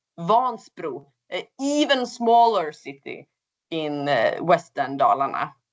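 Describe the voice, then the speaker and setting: In a Swedish accent, a woman speaks at a very slow pace, her pitch swinging very widely. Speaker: project coordinator. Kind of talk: webinar presentation. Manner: hesitant, with fillers.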